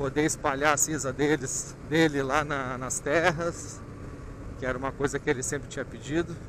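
A man at a moderate pace with monotone, flat intonation, a dry sound with no echo and noticeable background noise. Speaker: motorcycle rider vlogger. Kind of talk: casual vlog chat. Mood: reflective, tender. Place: motorbike. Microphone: helmet.

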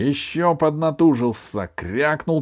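A man talks while music plays in the background. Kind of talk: audiobook reading aloud, literary narration with character voices. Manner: animated storyteller, shifts pitch and tone for each character, playful.

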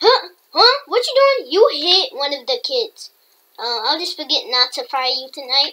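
A woman uses a put-on character voice, extremely high in pitch. Her pitch swings very wide at a moderate pace. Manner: stern, scolding.

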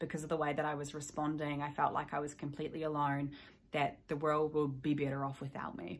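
A woman with a New Zealand accent speaks at a fairly quick pace in a very deep, low pitch. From New Zealand, South Island. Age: 20s. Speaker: mental health advocate, YouTuber. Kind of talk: personal testimony to camera. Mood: somber, reflective. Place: home room. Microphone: phone near.

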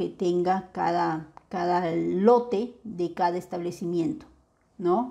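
Her tone is dark and mellow as the woman speaks with ordinary pitch variation. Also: quiet background. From Peru, Ica; Peru. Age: young. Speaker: biotech entrepreneur and lecturer; instructor. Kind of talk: webinar lecture. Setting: online webinar. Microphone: webcam.

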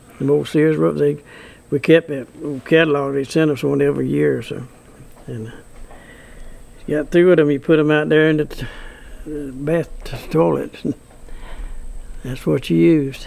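With a Southern US accent, the speaker keeps a moderate pace broken by long, frequent pauses. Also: man. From US South. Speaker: farmer. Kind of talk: interview answer. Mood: calm, reminiscing. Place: farm.

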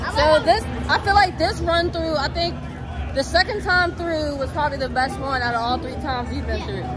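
Crowd noise fills the background. A woman talks at a moderate pace. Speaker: vlogger. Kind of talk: casual vlog chat. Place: street. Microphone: phone near.

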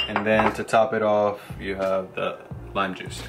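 A fairly low-pitched man at a fairly slow pace over noticeable background noise. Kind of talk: cooking tutorial. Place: kitchen. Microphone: camera far.

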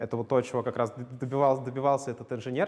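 A man speaks with fairly even intonation. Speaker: lecturer. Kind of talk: lecture. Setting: lecture hall with students. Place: classroom. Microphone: lapel.

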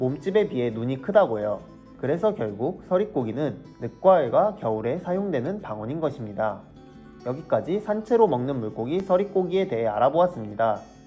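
Music plays behind a man speaking at a moderate pace. His pitch is fairly high, with very wide swings. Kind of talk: educational explainer narration.

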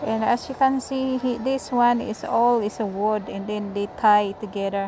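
Over light background noise, a woman speaks at a fairly slow pace with fairly even intonation in a dry sound with no echo. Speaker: vlogger. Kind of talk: casual vlog chat. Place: shop. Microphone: phone near.

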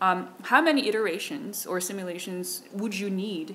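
Light background noise accompanies a woman speaking in a Korean accent. She keeps a moderate pace. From South Korea. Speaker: keynote speaker, researcher; keynote speaker. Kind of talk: conference Q&A answer. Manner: hesitant, many fillers. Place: hall. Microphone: podium.

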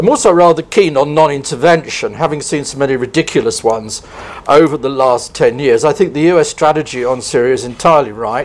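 Speech comes at a fairly quick pace in a southern English accent, with ordinary pitch variation. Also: man. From southern England, Kent; southern England. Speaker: professor of international relations; speaker. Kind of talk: panel discussion. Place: hall. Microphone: lapel.

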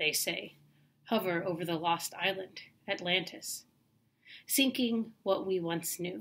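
A woman with an American accent speaks at a fairly slow pace, using ordinary pitch variation. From US South. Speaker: poet. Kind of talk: poetry reading. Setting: self-recorded video. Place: home room. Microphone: webcam.

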